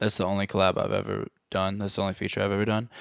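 Over a very clean recording with a silent background, a man speaks at a fairly low pitch with an American accent. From Missouri, US Midwest. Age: 20s. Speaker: rapper. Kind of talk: casual chat.

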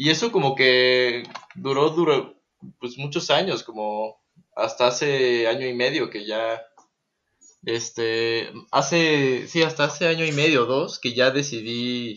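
This is a man with a normal speaking voice. His pitch sits at a medium level. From Texas, US. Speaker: guitarist and music producer. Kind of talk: casual chat. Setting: remote recording from home.

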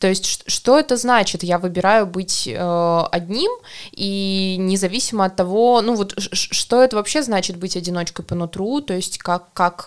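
Here is a woman with a plain, everyday voice at a medium pitch. She keeps a moderate pace and ordinary pitch variation. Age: 20s. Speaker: podcast host. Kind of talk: casual chat.

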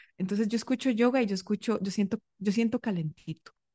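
This woman has a plain, everyday voice, fairly high in pitch with ordinary variation. The sound is dry and close, with no echo. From Costa Rica. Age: 30s. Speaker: singing teacher and breathing coach. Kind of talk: interview.

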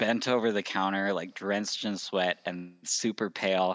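A man speaks with a Western US accent at a fairly low pitch. The background is quiet. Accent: American (Western US). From Utah. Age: 20s. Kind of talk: interview.

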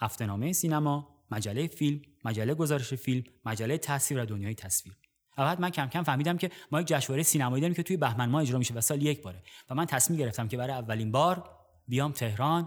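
The recording is very clean, with a silent background. A man talks at a very fast pace in a fairly high pitch. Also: ordinary pitch variation. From Iran, Gorgan. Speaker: podcast host, cinema narrator. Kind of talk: scripted narration; personal storytelling.

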